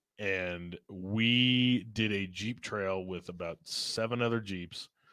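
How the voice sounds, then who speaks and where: Heard on a very clean recording with a silent background, a man with an American accent speaks at a fairly low pitch in a bright, sharp tone, with fairly even intonation at a very slow pace. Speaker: video game fan. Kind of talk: casual chat.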